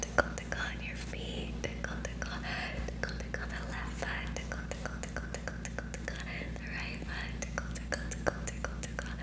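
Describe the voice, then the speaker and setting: A soft-spoken woman whispering at a fairly quick pace over loud background noise. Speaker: ASMR creator. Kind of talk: ASMR tickling role play. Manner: whispered, soft; playful, teasing. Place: home room. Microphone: studio mic.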